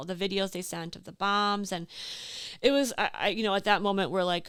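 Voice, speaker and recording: A woman speaks with an Upper Midwest accent. The recording is very clean, with a silent background. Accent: Upper Midwest American. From Door County, Wisconsin. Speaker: small business owner. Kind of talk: casual interview chat. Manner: animated.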